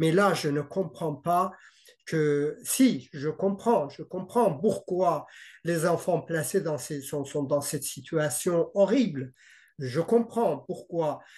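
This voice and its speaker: At a very slow pace, a man with a slight non-native accent speaks in a high voice with ordinary pitch variation against a quiet background. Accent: slight foreign. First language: not French (speaking French). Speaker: parent in dispute with child welfare services. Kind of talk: interview. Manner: halting, many hesitations and repetitions.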